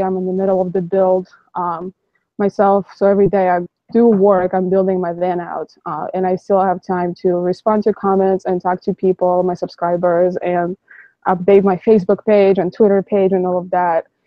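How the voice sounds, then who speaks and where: Monotone, flat intonation at a moderate pace, in a Russian accent. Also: woman. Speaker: YouTuber, van-life vlogger. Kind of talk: live stream discussion. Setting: live stream online call.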